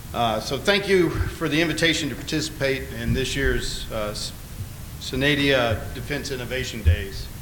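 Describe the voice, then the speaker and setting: A man with an Alabama accent, lively intonation and a moderate pace, amid noticeable background noise and audible room echo. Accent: lower Alabama. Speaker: navy admiral. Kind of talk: conference speech. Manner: hesitant, many filler words.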